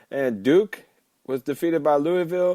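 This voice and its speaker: Dark and mellow in tone, a man's voice comes at a moderate pace with ordinary pitch variation. The sound is dry and close, without echo. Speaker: sports podcast host. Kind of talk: podcast monologue.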